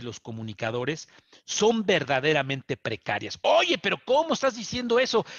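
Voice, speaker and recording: A man with a Mexican accent talks at a fairly slow pace over a quiet background. His pitch swings very widely. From Mexico. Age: 50s. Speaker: journalist. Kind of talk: TV interview. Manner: halting, frequent fillers and repetitions. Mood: serious, indignant. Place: office. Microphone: headset.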